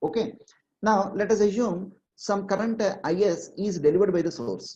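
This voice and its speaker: A woman speaks at a medium pitch with a dark, mellow tone and a somewhat breathy quality. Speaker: online exam-prep teacher. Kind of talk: online lecture.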